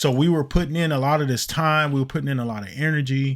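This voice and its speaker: A man's animated voice at a medium pitch, on a very clean recording with a silent background. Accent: Detroit. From Detroit. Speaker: podcast host. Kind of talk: casual chat.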